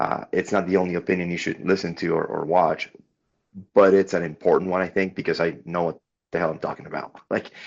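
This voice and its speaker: A man with a Spanish accent races along at a very fast pace in a very deep, low voice, keeping his intonation monotone and flat. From Venezuela. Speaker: podcast guest. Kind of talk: casual interview chat.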